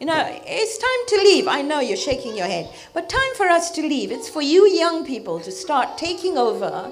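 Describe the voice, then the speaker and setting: A woman with a high pitch speaks at a moderate pace, her pitch swinging very widely. Music plays in the background amid audible room echo. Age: 60s. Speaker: religious teacher. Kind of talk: religious talk to youth audience. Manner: animated.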